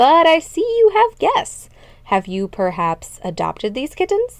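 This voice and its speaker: A woman's put-on character voice, high-pitched, with very wide pitch swings, at a moderate pace, in a very clean recording with a silent background. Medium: read story. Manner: formal, courteous.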